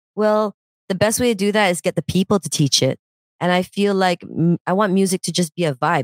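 A woman with a plain, everyday voice and a fairly low pitch talks at a fairly quick pace, with ordinary pitch variation, in a dry, close sound with no echo. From Canada. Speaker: musician. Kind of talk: casual chat. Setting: online call.

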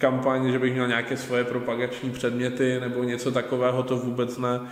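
With audible room echo and noticeable background noise, a man speaks at a moderate pace and a medium pitch. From Czechia, Ostrava. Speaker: local politician. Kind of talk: casual interview. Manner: hesitant, with fillers and repetitions.

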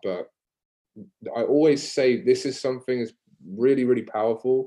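A man speaks at a moderate pace in a medium pitch, with a dark, mellow tone and ordinary pitch variation. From England, Devon (Exmouth near Exeter). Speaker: fitness business coach. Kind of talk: casual podcast interview.

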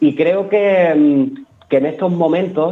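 This man speaks with ordinary pitch variation. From Peñarroya-Pueblonuevo, Córdoba, Spain. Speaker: flamenco dancer and choreographer. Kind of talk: radio interview.

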